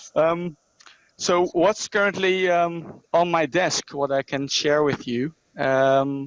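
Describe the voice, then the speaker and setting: Very slow speech from a man with a Dutch accent, ordinary pitch variation, and a dry, close sound with no echo. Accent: Dutch accent, self-described as terrible. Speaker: regional company manager. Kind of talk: online presentation. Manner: halting, many fillers.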